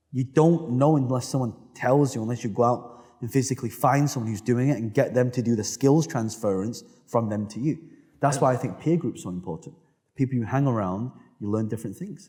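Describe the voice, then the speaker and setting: A man's dark, mellow, somewhat breathy voice with a British accent, medium in pitch, at a fairly quick pace with ordinary pitch variation. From United Kingdom. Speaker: entrepreneur. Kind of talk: interview answer.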